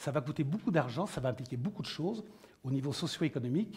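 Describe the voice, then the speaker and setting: A man's fairly high voice, very fast, with very wide pitch swings. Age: 60s. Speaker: panel moderator, former Olympic pole vaulter. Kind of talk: round-table moderation. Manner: animated.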